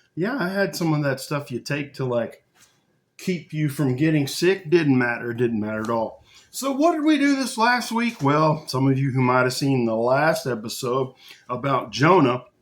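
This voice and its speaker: The speaker's intonation is lively. The pace is moderate. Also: man, fairly high pitch for a man. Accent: Texas. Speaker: video podcast host. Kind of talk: casual monologue. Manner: conversational, folksy.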